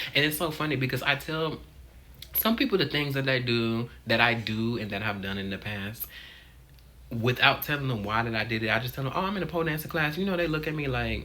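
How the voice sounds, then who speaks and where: Over noticeable background noise, a man with a medium pitch talks at a fairly quick pace, his intonation lively and his tone animated. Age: 20s. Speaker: vlogger. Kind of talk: casual vlog monologue. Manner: halting.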